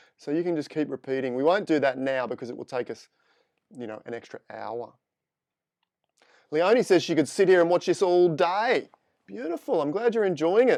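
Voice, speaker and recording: With an Australian accent, a man talks at a fairly quick pace in a high voice, his pitch swinging very widely and his speech broken by long, frequent pauses. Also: big swings in loudness, quiet background. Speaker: photo editing instructor. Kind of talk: live tutorial. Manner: casual, chatty.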